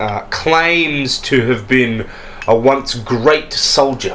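Against noticeable background noise, a man speaks at a very slow pace. His medium pitch varies in an ordinary way. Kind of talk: tabletop RPG game master narration, describing scenes and voicing characters. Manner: descriptive, storytelling, casual with hesitations and filler.

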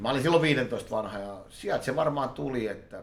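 Audible room echo surrounds a voice moving at a moderate pace. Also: man. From Helsinki, Finland. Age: 40s. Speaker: poker player and market trader. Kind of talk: interview. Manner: loud.

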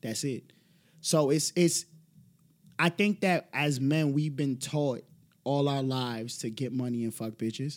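With a New York accent, a man speaks at a fairly slow pace with long, frequent pauses, a fairly high pitch and ordinary pitch variation. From the Bronx, New York. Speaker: podcast guest. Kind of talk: casual chat.

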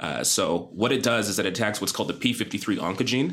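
A man talks in a plain, everyday voice. His pitch is fairly low, with ordinary pitch variation. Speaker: physician. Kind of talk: interview. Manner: assertive, explanatory.

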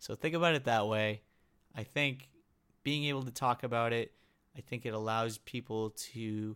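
In a very clean recording with a silent background, a normal speaking voice moves at a moderate pace with fairly even intonation. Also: man. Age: 20s. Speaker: podcast host, chronic illness patient. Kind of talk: solo podcast monologue. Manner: casual, many filler words.

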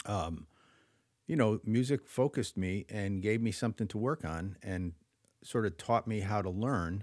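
Recorded with a dry, close sound and no echo, a man speaks in a normal speaking voice at a medium pitch. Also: very clean recording, silent background. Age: 60s. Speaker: jazz musician. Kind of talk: casual chat.

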